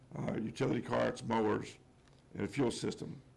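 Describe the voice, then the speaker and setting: Speaking at a moderate pace, a man with an American accent has a medium pitch, vocal fry and ordinary pitch variation. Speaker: general manager presenting budget. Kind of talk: budget presentation at public hearing. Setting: public meeting room with audience. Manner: hesitant, many fillers.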